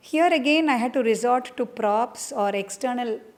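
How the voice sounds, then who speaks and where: Speaking at a very slow pace, a woman with a Keralan accent uses ordinary pitch variation. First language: Malayalam. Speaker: dancer and choreographer. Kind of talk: interview. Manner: halting, with many fillers.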